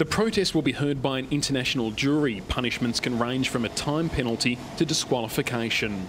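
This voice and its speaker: The speaker has an Australian accent and a fairly quick pace. Noticeable background noise runs behind the voice. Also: man, ordinary pitch variation, very even loudness. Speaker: news reporter. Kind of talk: packaged news report narration.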